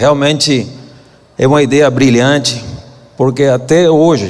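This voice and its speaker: Amid noticeable background noise and audible room echo, a man with a medium pitch speaks at a fairly slow pace with ordinary pitch variation. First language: Spanish (speaking Portuguese). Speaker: senator. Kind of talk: conference talk.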